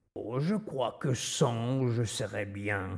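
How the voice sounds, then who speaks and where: In a very clean recording with a silent background, a put-on character voice moves at a very slow pace with ordinary pitch variation. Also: man, medium pitch for a man. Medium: read story. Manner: gentle, hesitant.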